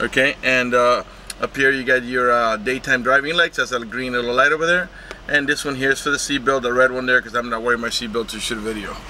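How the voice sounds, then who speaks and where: Over light background noise, a man talks at a very fast pace in dry sound with no echo. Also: fairly even intonation. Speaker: car salesman. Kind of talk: product walkaround commentary. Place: car. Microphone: phone near.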